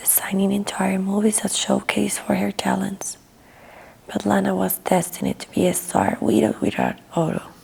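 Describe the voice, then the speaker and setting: A calm, soft-spoken woman at a moderate pace, with noticeable background noise. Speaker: ASMR artist. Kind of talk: audiobook reading. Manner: soft-spoken, calm.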